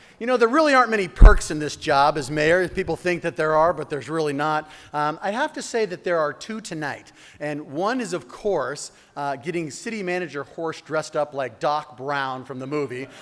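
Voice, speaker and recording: The tone is animated. The intonation is lively. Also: man, fairly high pitch for a man. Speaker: mayor. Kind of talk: speech. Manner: fast.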